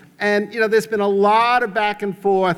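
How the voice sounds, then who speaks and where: A man is talking. He has a New York accent. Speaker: economist. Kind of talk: conference talk.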